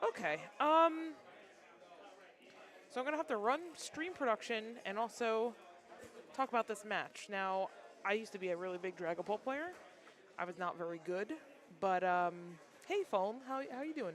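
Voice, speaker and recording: A loud woman's voice, fairly high in pitch, with very wide pitch swings, a moderate pace, and long, frequent pauses. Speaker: livestream commentator for card game matches. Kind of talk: live commentary. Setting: card shop league event, sitting behind player.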